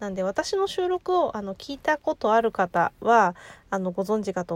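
A woman's fairly high voice with very wide pitch swings at a moderate pace, in a dry, close sound with no echo. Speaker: podcaster. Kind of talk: casual monologue. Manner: often stumbles over words.

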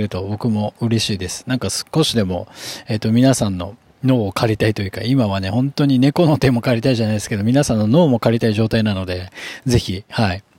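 Using a plain, everyday voice, a man talks at a medium pitch and a fairly quick pace with ordinary pitch variation. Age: 30s. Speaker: hairdresser and podcast host. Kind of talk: solo business talk podcast. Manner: casual with many filler words.

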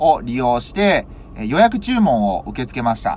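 Pitch swings very widely in this man's speech. His pace stays moderate. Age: 30s. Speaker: vegetable farmer. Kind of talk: solo talk podcast.

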